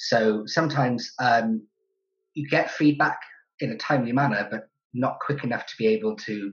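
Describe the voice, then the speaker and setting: A man talks with ordinary pitch variation and a somewhat breathy voice. The background is quiet. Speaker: graduate student. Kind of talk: interview. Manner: halting. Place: kitchen. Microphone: webcam.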